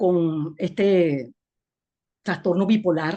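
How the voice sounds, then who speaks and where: Her voice sits at a medium pitch, and the woman speaks in a dark, mellow tone with ordinary pitch variation. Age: 60s. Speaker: webinar participant. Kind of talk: personal testimony.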